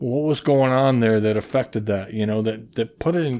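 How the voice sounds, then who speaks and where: This is a man with a medium pitch. He speaks with a Midwestern American accent. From US Midwest, Iowa (Mason City). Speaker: podcast guest, musician. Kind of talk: casual chat.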